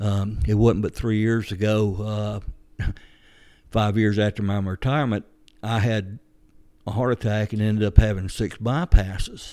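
With a Georgia accent, a man talks at a fairly slow pace in a fairly low pitch and a dark, mellow tone. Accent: Southern American (Georgia). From US South. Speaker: retired police officer. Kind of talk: interview.

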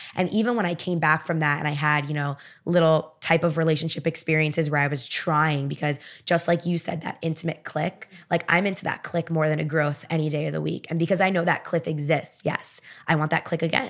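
In a very clean recording with a silent background, a woman speaks at a very fast pace with a very deep, low pitch and fairly even intonation. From Miami. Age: 20s. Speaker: author. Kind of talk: casual chat.

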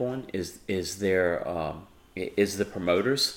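Using a normal speaking voice, a man talks at a fairly low pitch with fairly even intonation. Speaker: podcast host. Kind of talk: casual chat.

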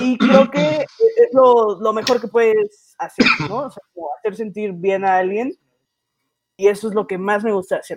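A woman with a plain, everyday voice speaks at a fairly slow pace and a fairly high pitch. Her loudness swings widely, with ordinary pitch variation. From Mexico City. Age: 20s. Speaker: stand-up comedian. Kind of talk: casual chat. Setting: studio.

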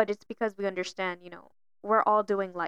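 Speaking at a fairly quick pace, a woman with a medium pitch keeps a monotone, flat intonation in a dry, close sound with no echo. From Miami. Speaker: podcast co-host. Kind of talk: casual chat.

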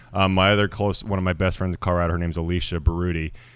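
Speaking at a very fast pace, a man with a Western US accent has a very deep, low pitch, captured in a very clean recording with a silent background. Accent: General American, western US. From Idaho, US. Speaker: actor and army veteran, former firefighter. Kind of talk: casual interview chat.

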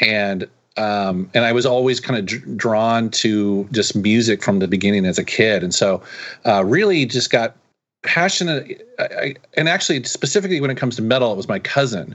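This is an unremarkable speaking voice with an American accent. The intonation is lively. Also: man, medium pitch for a man, moderate pace. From Seattle, US. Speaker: YouTube creator and retro gaming reviewer. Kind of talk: casual interview chat.

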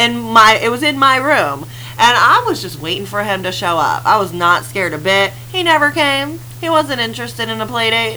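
At a moderate pace and medium pitch, a woman talks with very wide pitch swings, with audible room echo and noticeable background noise. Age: 30s. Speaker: podcast co-host. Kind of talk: casual chat.

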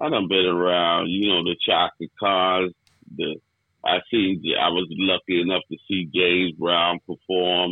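A man speaks with a New York accent at a very deep, low pitch. His pace is fairly slow and his intonation monotone and flat. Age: 60s. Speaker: hip hop DJ. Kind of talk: casual chat.

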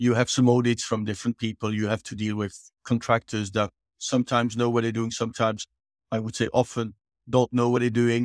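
A man at a fairly quick pace, flat and monotone, in a very clean recording with a silent background. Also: medium pitch for a man. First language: French. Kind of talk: interview.

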